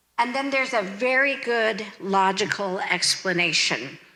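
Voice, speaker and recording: A woman's bright, sharp voice at medium pitch, with audible room echo. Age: 60s. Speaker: pastor. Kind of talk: sermon.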